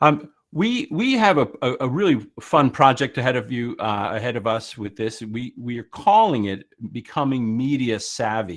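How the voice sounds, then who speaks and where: Lively intonation at a moderate pace in an American accent, with hardly any pauses and a quiet background. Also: man, medium pitch for a man. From United States. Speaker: workshop presenter, former media teacher. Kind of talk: online workshop presentation. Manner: hesitant, many fillers.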